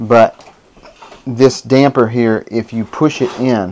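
The intonation runs fairly even, with light background noise behind it. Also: man. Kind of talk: tutorial. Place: kitchen. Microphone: lapel.

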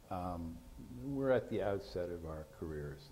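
The voice is somewhat breathy, with light background noise. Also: man. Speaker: moderator, science writer; moderator. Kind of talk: moderated panel discussion. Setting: stage with audience. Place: stage. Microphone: lapel.

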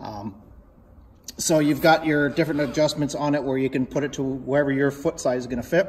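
A man talks with fairly even intonation. Light background noise can be heard. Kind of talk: casual walkaround commentary. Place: shop. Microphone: phone near.

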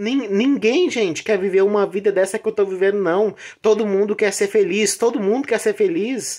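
A woman with a dark, mellow tone speaks at a fairly slow pace against a quiet background. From Brazil, rural area. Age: 30s. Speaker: vlogger. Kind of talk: personal vlog confession. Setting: in bed at home. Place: home room. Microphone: phone near.

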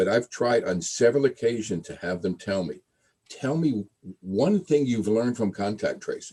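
The voice has a dark, mellow tone, lively intonation, and a moderate pace. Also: man, medium pitch for a man. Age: 80s+. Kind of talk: public comment at council meeting. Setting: virtual meeting. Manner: passionate, animated; halting with repetitions.

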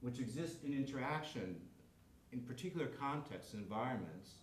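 A man talks at a moderate pace with lively intonation, with audible room echo and light background noise. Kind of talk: lecture. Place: classroom.

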